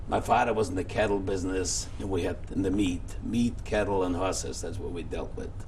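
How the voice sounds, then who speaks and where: Over noticeable background noise and audible room echo, a man with a very deep, low pitch talks in a monotone, flat way at a fairly quick pace. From Poland, near Warsaw. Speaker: Holocaust survivor. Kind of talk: oral history interview.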